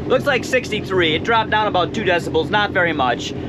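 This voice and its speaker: Through audible room echo and noticeable background noise, a man's voice swings very widely in pitch. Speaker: boating video creator. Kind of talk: tutorial. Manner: loud.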